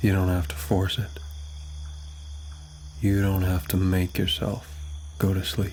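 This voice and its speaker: The voice has a soothing tone and fairly even intonation. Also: man. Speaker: ASMR sleep talkdown creator. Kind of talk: sleep talkdown, guided relaxation. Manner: soft, slow, soothing.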